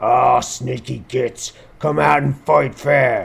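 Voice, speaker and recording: Very slowly, a man bellows, shouts and growls in a put-on character voice. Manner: bellowing, angry shout.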